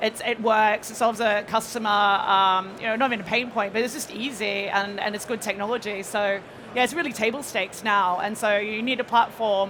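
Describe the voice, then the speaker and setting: With an Australian accent, a woman talks at a fairly quick pace with hardly any pauses, her fairly high pitch held in fairly even intonation over noticeable background noise. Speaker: payments panelist. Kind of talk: panel discussion. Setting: stage with audience.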